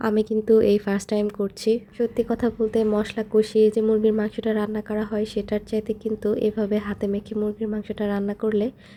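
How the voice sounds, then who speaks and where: The woman's voice is fairly high in pitch with a dark, mellow tone. Her intonation is monotone and flat. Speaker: vlogger. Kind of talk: vlog narration. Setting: home kitchen.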